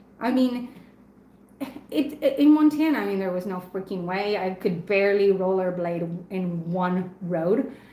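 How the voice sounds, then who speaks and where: Audible room echo surrounds a woman speaking at a fairly slow pace. Her pitch is medium and her intonation lively. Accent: Spanish. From Argentina. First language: Spanish. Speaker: knife reviewer and live stream host. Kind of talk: casual live stream chat. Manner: chatty, with frequent fillers and repeats.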